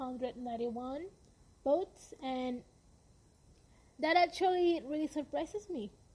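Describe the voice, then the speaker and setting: A woman with a high voice speaks at a fairly slow pace. Her tone is dark and mellow. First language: Spanish. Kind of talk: podcast monologue. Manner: slow reading numbers.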